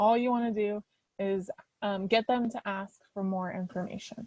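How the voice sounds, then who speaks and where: The voice is somewhat breathy, with a dry, close sound with no echo. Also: woman. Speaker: author and writing workshop speaker. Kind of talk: lecture. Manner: fast.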